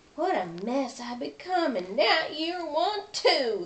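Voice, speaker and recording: Putting on a character voice, a woman speaks high-pitched at a fairly slow pace with very wide pitch swings. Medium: read story. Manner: hollering.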